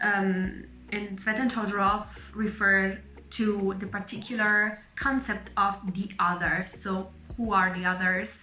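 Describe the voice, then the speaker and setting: Audible room echo surrounds a woman with a slight Italian accent, who speaks at a medium pitch with fairly even intonation. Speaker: medical student and vlogger. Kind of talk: casual vlog monologue.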